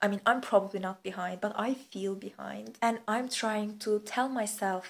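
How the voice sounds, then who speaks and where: A woman speaks with a Turkish accent. Her pitch is fairly high. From Turkey. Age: 20s. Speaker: vlogger. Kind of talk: casual chat. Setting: lying on living room floor.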